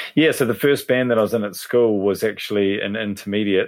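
A man with a New Zealand accent speaks at a fairly quick pace in a fairly low pitch. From New Zealand, Hawke's Bay. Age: 30s. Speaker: drummer. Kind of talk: casual chat.

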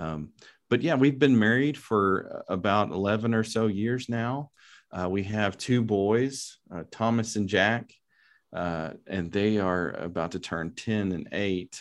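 A man with a West Texas accent speaks at a fairly slow pace, with ordinary pitch variation. The background is quiet. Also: fairly low pitch for a man. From West Texas, Lubbock. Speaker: philosophy professor. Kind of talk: interview.

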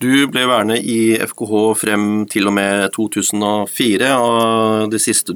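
The man's voice sits fairly low and stays monotone and flat. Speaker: football podcast host. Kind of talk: interview. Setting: studio.

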